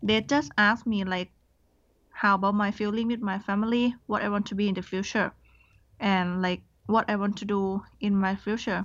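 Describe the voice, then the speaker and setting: Spoken in a Thai accent, the voice moves at a moderate pace with fairly even intonation against a quiet background. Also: woman, medium pitch for a woman. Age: 20s. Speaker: scholarship student. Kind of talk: interview, casual chat. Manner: hesitant, non-fluent English.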